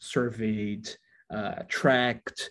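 The voice has a dark, mellow tone. It carries a Portuguese accent. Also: man. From Brazil, Rio de Janeiro. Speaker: doctoral researcher in learning analytics. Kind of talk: interview discussion.

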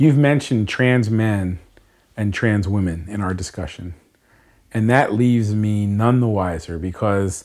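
An unremarkable speaking voice from a man with an American accent, fairly low pitch, ordinary pitch variation and a moderate pace. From Bucks County, Pennsylvania. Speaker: gun rights advocate. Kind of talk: personal dialogue.

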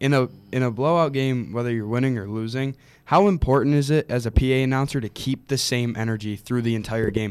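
Speaking at a very fast pace, a man with medium pitch and ordinary pitch variation is heard on a very clean recording with a silent background. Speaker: co-host, sports commentator. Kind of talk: casual sports chat.

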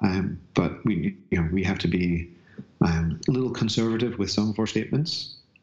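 A man talks at a moderate pace. His pitch is fairly low, with ordinary variation. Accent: slight Northern Irish. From Northern Ireland. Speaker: bodyworker and fascia educator. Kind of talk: casual interview chat.

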